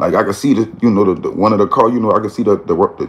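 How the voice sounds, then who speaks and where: A man talks at a fairly quick pace. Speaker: storyteller. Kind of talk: casual vlog chat. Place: home room. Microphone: phone near.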